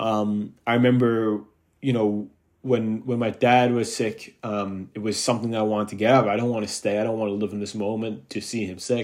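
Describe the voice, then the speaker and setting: The recording is very clean, with a silent background. A man with a fairly low voice talks at a fairly quick pace in a monotone, flat way. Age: 20s. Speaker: podcast host. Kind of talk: solo monologue. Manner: hesitant, many fillers.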